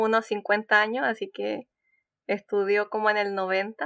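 Speaking at a very slow pace, a woman with a Chilean accent holds a medium pitch and a monotone, flat intonation, recorded dry and close with no echo against a quiet background. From Chile, Concepción. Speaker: PhD student in engineering. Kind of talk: casual interview.

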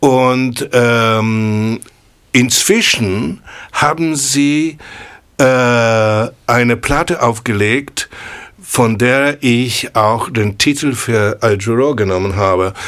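This voice moves at a very slow pace in a Polish accent. Loudness stays very even and the pitch varies in an ordinary way. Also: man, medium pitch for a man. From Poland, Kraków. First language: Polish (speaking German). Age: 60s. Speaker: jazz pianist. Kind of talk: casual chat. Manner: halting.

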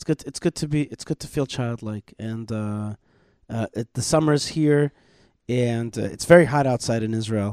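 On a very clean, dry, close recording with no echo and a silent background, a man with a plain, everyday voice talks at a moderate pace and medium pitch, with ordinary pitch variation and big swings in loudness. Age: 40s. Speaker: radio show host. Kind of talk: live talk show chat.

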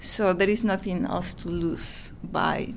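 Vocal fry runs through this woman's speech. She has a Mexican accent and ordinary pitch variation. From Mexico. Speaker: author and illustrator. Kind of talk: casual interview. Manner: halting, with repeated words.

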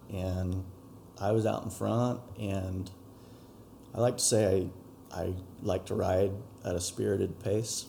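Very deep, low voice of a man, dark and mellow with vocal fry, fairly even intonation, a fairly slow pace and long, frequent pauses. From Utah, Utah Valley. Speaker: dirt bike rider. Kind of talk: interview. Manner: calm, subdued. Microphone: poorer audio quality than solo studio recordings.

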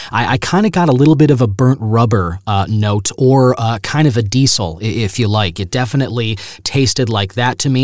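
This man has an unremarkable speaking voice. He talks at a fairly quick pace with lively intonation. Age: 30s. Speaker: radio broadcaster and podcast host. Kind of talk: solo podcast monologue, review and news roundup.

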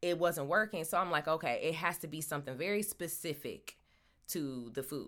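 With an American accent and a very deep, low pitch, a woman talks at a fairly quick pace in an animated tone with lively intonation, on a very clean recording with a silent background. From Michigan, US Midwest. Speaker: podcast host, actress and comedian. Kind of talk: casual monologue.

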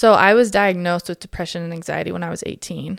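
A woman's ordinary speaking voice, fairly low in pitch and fairly quick, on a very clean recording with a silent background and a dry, close sound with no echo. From Alberta, Canada. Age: 20s. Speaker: mom community founder. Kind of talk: casual chat.

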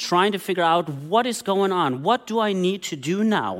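A man with a German accent speaks in a high voice at a fairly slow pace. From Germany. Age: 40s. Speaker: pastor. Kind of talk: sermon.

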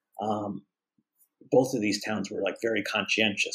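A man with an American accent at a moderate pace. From Texas. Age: 50s. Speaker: horticulturist. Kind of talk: interview.

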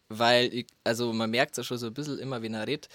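Dry and close with no echo, a man's medium-pitched voice carries a flat, monotone delivery. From Bavaria, rural dialect area. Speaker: music producer. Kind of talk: casual chat. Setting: studio.

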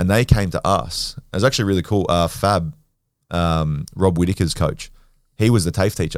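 Very deep and low, a man's voice carries an Australian accent at a moderate pace. His pitch varies in an ordinary way, and the recording is very clean with a silent background. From Western Sydney, Australia. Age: 20s. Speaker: grappler and former rugby league player. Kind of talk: casual chat.

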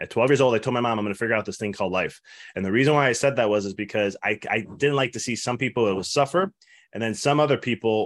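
Very fast talking with ordinary pitch variation over a quiet background. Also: man. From Italian-American family. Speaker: business mindset coach, former chiropractor. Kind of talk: interview. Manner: halting, many fillers and restarts.

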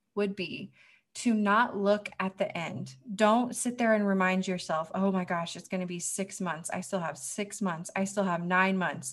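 Against a quiet background, a woman talks at a medium pitch in a somewhat breathy voice. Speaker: military wife, ministry team member. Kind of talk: prerecorded encouraging talk. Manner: calm, peaceful.

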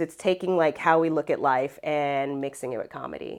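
Talking at a fairly quick pace, a woman with an American accent has an animated tone. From Ohio, US Midwest. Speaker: actor and voiceover artist. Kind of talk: casual interview. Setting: in a cafe.

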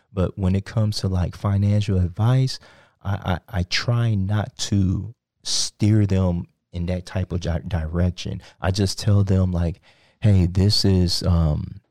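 Very deep and low in pitch, a man's voice has a dark, mellow tone and fairly even intonation at a very slow pace. The recording is very clean with a silent background and a dry, close sound with no echo. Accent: American. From Texas, Sugar Land (Houston area). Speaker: cryptocurrency consultant. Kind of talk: interview. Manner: hesitant, many fillers.

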